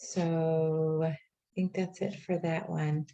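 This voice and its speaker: This woman's voice is very deep and low in pitch, somewhat breathy, with a dark, mellow tone. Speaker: life coach. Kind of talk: workshop presentation. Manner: casual, filler-heavy.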